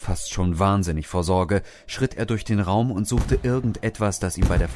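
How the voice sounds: Ordinary pitch variation shapes a natural reading voice.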